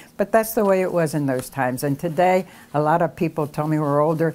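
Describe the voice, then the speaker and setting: In an American accent, a woman speaks at a fairly quick pace with a very deep, low pitch and ordinary pitch variation. The recording is very clean, with a silent background. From Philadelphia, US. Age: 80s+. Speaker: community elder interviewee. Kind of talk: oral history interview.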